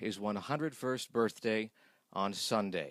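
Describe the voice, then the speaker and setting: Against a silent background in a very clean recording, a man with an unremarkable speaking voice talks at a moderate pace. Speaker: radio reporter. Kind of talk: radio interview questions.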